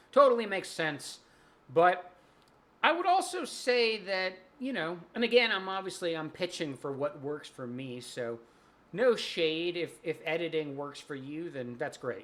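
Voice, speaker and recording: Lively intonation with big swings in loudness. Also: man, high pitch for a man. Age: 40s. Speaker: spiritual content creator. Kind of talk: casual monologue. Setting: late night at home. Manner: rambling riffing flow.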